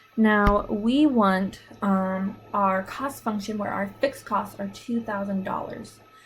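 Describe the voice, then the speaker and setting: A woman's fairly high-pitched voice over music in the background. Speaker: math teacher. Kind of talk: tutorial.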